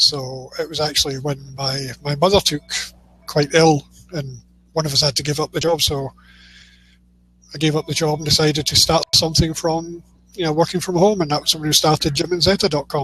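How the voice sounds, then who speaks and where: A man with a Scottish accent speaks in a fairly high pitch at a fairly quick pace, using fairly even intonation and long, frequent pauses. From Scotland. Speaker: publishing services provider. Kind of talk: casual interview chat.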